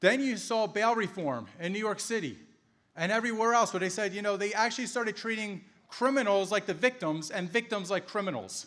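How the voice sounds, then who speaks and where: A man speaks at a fairly quick pace in a high pitch. His pitch varies in an ordinary way. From Philadelphia, Pennsylvania. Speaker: law enforcement officer and political speaker. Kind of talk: campaign rally speech.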